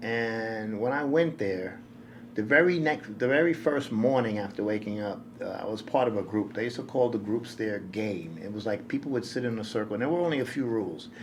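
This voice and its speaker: The speech comes at a fairly quick pace with an American accent and ordinary pitch variation. Room echo is audible. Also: man, medium pitch for a man. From New York City. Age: 60s. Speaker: nonprofit director. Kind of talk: interview storytelling. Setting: podcast interview.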